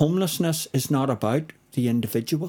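At a moderate pace, a man with a fairly high pitch and a dark, mellow tone talks with ordinary pitch variation on a very clean recording with a silent background. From Northern Ireland. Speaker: spoken word poet. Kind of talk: casual interview chat with poetry reading. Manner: confident.

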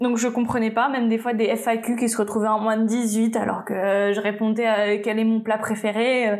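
A woman's fairly high, monotone voice at a moderate pace, with flat intonation, noticeable background noise and audible room echo. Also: hardly any pauses, very even loudness. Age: 20s. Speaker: YouTuber and tattoo studio owner. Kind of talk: casual interview.

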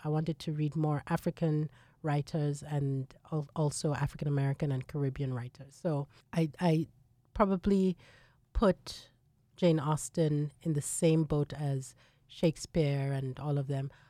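A woman speaks at a fairly slow pace in a very deep, low pitch, with a dark, mellow tone and fairly even intonation. The sound is dry and close with no echo, on a very clean recording with a silent background. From Nigeria. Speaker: musicologist and university dean. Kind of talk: interview conversation.

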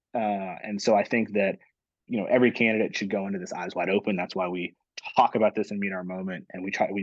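With an American accent and an unremarkable speaking voice, a man talks at a fairly quick pace and fairly low pitch, his intonation fairly even. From Virginia, Norfolk. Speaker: former state legislator, politician. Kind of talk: interview.

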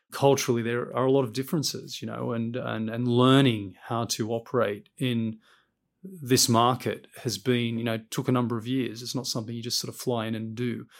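In a very clean recording with a silent background, a man with an Australian accent talks at medium pitch with fairly even intonation. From Australia, Western Sydney. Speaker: chief executive. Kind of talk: interview.

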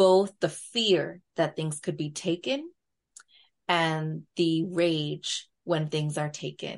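Fairly low in pitch, a woman speaks at a very slow pace with fairly even intonation. The background is quiet. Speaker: therapist. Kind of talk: casual interview conversation.

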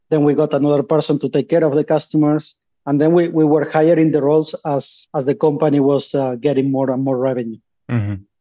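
Over a quiet background, a man with a dark, mellow tone and fairly high pitch talks very fast with fairly even intonation. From Uruguay. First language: Spanish. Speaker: startup founder. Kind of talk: interview.

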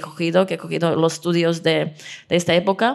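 In a Czech accent, a woman speaks at a fairly low pitch. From Czech Republic. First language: Czech (speaking Spanish). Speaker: dance teacher. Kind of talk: interview. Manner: halting, many fillers and repetitions.

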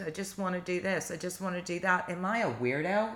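Over noticeable background noise, a woman speaks at a medium pitch and a fairly quick pace. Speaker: podcast co-host. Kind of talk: casual conversational discussion.

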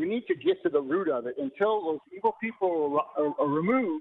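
A man speaks at a fairly quick pace. His pitch is high and his intonation lively. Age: 70s. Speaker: caller. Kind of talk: casual chat. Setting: phone call.

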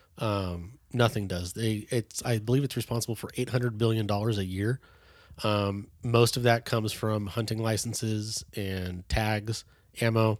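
With an American accent, a man speaks in a plain, everyday voice at a fairly low pitch and a moderate pace. The recording is very clean, with a silent background. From California, Bay Area. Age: 30s. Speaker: hunter safety educator. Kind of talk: casual interview.

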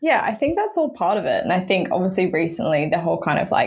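A woman talks with an Australian accent. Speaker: women's football club founder. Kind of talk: casual chat. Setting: video call.

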